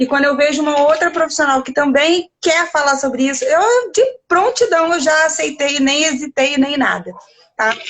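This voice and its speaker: Speaking in an animated tone at a moderate pace, a woman has a high pitch. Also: lively intonation. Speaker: nutritionist and restaurant management consultant. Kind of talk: live video chat interview. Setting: home, live video call.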